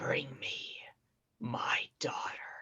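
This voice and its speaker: The speaker uses a put-on character voice. It sounds raspy. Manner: commanding, ominous.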